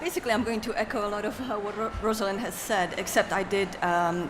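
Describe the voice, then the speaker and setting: Over noticeable background noise and audible room echo, a woman speaks at a moderate pace with ordinary pitch variation. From Poland. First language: Polish. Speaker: literary translator. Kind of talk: panel discussion.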